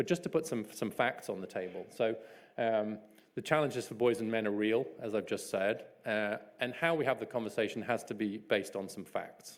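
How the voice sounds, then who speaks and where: Speaking at a medium pitch, a man has a British accent. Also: ordinary pitch variation, fairly quick pace. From England. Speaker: author and social commentator. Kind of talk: keynote speech. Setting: stage with audience.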